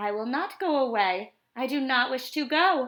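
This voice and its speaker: At a moderate pace, a woman speaks high in a put-on character voice. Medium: read story. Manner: playful, showy.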